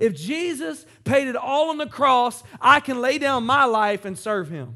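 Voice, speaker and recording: On a very clean recording with a silent background, a man uses a raised, projected voice with a bright, sharp tone and very wide pitch swings. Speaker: pastor. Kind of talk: sermon. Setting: church. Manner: animated, rousing preacher in full flow, interactive with crowd; asks call-and-response questions, urging the congregation to raise Bibles and say amen.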